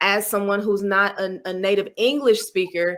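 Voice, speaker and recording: An ordinary speaking voice with an American accent talks at a moderate pace with ordinary pitch variation. The recording is very clean, with a silent background. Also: woman. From US Midwest, Cleveland, Ohio. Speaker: public speaking champion. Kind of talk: interview.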